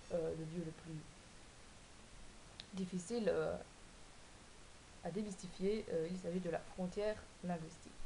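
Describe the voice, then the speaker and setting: A woman speaks at a fairly low pitch with fairly even intonation. Her pace is fairly slow, with long, frequent pauses. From Belgium, Wallonia. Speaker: vlogger. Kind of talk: casual vlog explaining cards. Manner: hesitant, many fillers.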